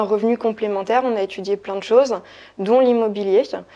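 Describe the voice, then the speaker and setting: Over a quiet background, a woman talks at medium pitch with a dark, mellow tone. Her intonation is monotone and flat. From France, Saumur (Loire valley). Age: 30s. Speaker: property investor. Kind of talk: interview. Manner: hesitant, many fillers.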